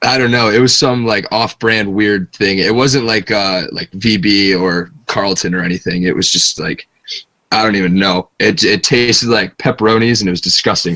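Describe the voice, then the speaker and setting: A plain, everyday voice with an American accent. It moves at a moderate pace with ordinary pitch variation. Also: man, fairly low pitch for a man. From northern US. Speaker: interview guest. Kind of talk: casual chat.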